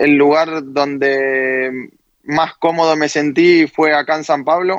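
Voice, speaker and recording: Speaking at a very slow pace, the man has a fairly high pitch and fairly even intonation. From Argentina. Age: 20s. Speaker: footballer. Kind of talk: interview. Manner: halting.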